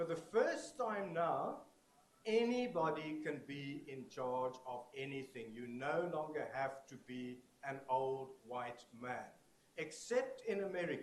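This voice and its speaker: A man with a fairly high pitch speaks very slowly with lively intonation and big swings in loudness. Noticeable background noise and audible room echo are present. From South Africa. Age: 60s. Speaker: conference keynote speaker. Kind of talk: keynote lecture. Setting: stage with audience. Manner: animated.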